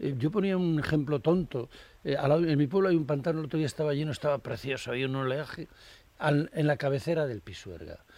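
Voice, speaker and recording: A man with an ordinary speaking voice talks at a fairly quick pace and fairly high pitch. His pitch varies in an ordinary way, and the recording is very clean with a silent background. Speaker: cartoonist. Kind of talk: casual chat.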